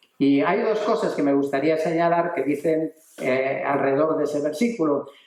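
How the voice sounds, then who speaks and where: A man with a fairly high pitch speaks at a moderate pace, with ordinary pitch variation and very even loudness, against noticeable background noise. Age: 60s. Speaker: preacher. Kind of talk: sermon.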